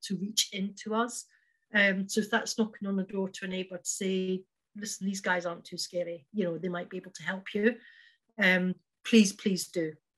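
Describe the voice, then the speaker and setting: Fairly even in intonation, a woman with a medium pitch speaks at a moderate pace. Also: big swings in loudness. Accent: Scottish. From Scotland. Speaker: charity advice worker. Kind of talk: panel discussion.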